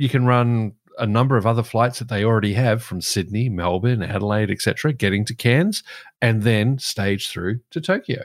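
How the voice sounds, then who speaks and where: A man speaks in an Australian accent at a moderate pace, with a medium pitch and ordinary pitch variation. The recording is very clean, with a silent background. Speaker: aviation podcast co-host. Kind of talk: casual chat.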